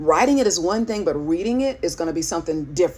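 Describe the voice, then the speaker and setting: The speaker talks at a fairly quick pace with lively intonation and vocal fry. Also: woman. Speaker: writing coach and pastor. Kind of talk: instructional talk. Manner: casual, conversational.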